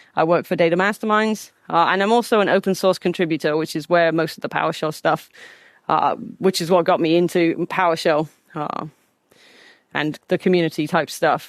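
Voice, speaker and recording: A woman in an American accent at medium pitch with ordinary pitch variation and a fairly quick pace, dry and close with no echo, on a very clean recording with a silent background. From England. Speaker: conference speaker, data platform engineer. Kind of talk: technical conference talk.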